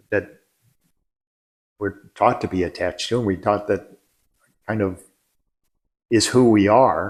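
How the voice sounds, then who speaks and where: A man talks fairly slowly in a fairly low pitch, with long, frequent pauses. His intonation stays fairly even. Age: 60s. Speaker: land caretaker. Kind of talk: casual interview conversation. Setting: living room at home. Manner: halting, repeats words.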